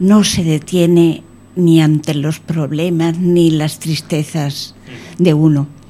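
A woman's fairly low voice over noticeable background noise. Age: 80s+. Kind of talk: radio interview. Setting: radio studio.

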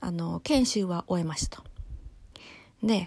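A woman speaks with a somewhat breathy voice. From Japan. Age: 20s. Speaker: solo podcaster. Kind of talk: casual monologue. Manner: casual, chatty.

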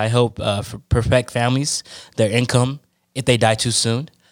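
A man with an American accent in a normal speaking voice, medium in pitch, moderate in pace, fairly even in intonation, on a very clean recording with a silent background. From Oakland, California. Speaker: podcast co-host, life insurance agent. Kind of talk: casual chat.

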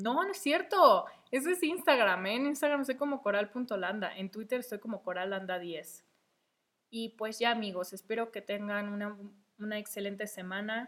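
A woman with a fairly high pitch and lively intonation talks at a moderate pace. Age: 20s. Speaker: podcast host. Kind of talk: casual monologue. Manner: hesitant, many fillers.

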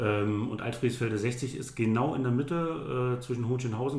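Somewhat breathy speech with fairly even intonation carries audible room echo. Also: man. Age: 30s. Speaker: volunteer fire chief. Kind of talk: interview. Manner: halting, many fillers and repetitions.

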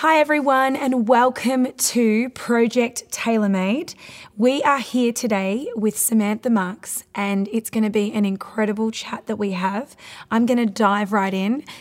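This woman has an ordinary speaking voice with a fairly high pitch and ordinary pitch variation. She speaks at a fairly slow pace. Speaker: podcast host. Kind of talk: casual interview.

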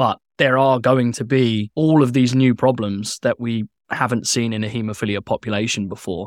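An ordinary speaking voice from a man, medium in pitch and fairly even in intonation at a moderate pace, dry and close with no echo in a very clean recording with a silent background. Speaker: podcast host. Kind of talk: conversational interview podcast.

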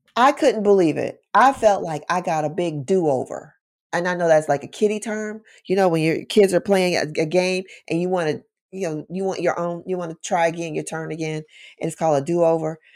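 A woman with an American accent and a plain, everyday voice speaks at a fairly quick pace with a fairly low pitch and ordinary pitch variation, on a very clean recording with a silent background. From Chicago, South Side. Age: 50s. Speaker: deliverance minister. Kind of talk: interview testimony.

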